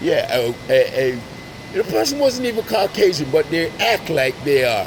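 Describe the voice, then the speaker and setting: A man's high voice at a moderate pace, pitch swinging very widely, over noticeable background noise. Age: 60s. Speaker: street interviewer and video blogger. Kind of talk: casual street interview.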